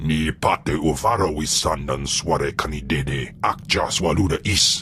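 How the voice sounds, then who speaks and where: A man's put-on character voice, growling and very deep, fairly slow, over clear background noise. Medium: video game. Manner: speaks only an alien language.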